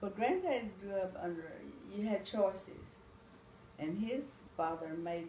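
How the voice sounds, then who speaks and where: A woman with an American accent speaks very slowly at a medium pitch with ordinary variation, amid noticeable background noise. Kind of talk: interview answer.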